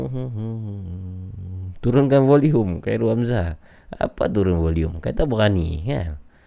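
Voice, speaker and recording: Music plays in the background as a man speaks at a very slow pace. His pitch is very deep and low, and it swings very widely. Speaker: horror podcast host taking phone calls. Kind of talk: live call-in show hosting.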